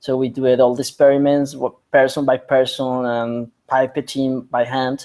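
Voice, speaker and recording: A man speaks at a moderate pace with hardly any pauses, his pitch medium. His tone is dark and mellow, and his intonation stays flat and monotone. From Colombia. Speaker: biotech entrepreneur and scientist. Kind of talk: interview. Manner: halting.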